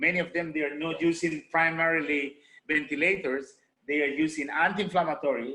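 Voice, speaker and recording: A man with a Spanish accent talks at a fairly quick pace, his fairly high voice bright and sharp in tone, his intonation fairly even. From Honduras, Garifuna community. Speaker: medical doctor. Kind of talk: presentation. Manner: halting.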